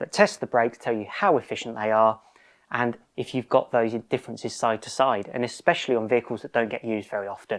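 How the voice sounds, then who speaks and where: A man with a British accent at medium pitch and a fairly quick pace, dry and close with no echo, on a very clean recording with a silent background. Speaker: car restoration youtuber. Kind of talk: casual workshop vlog. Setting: home garage.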